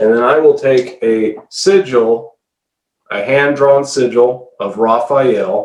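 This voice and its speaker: This is a man's voice. His pitch is medium. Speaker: occultist selling radionics devices. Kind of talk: solo video demonstration. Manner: animated.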